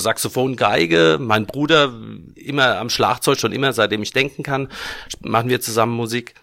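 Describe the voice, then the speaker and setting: At a moderate pace, a man talks in a normal speaking voice with a medium pitch. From Germany, Aschaffenburg (Lower Franconia). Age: 50s. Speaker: band founder and musician. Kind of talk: casual interview chat. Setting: studio.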